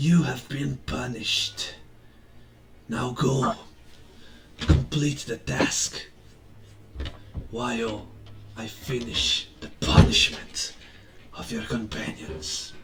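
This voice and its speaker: A raspy put-on character voice whispers at a very slow pace with long, frequent pauses. Clear background noise runs underneath. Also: man. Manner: whispering.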